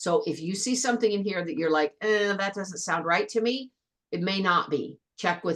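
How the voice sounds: The background stays quiet while a natural reading voice moves with ordinary pitch variation.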